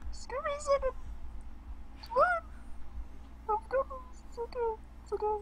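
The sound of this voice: Someone uses a squeaky, put-on character voice at a moderate pace. Loud background noise fills the clip.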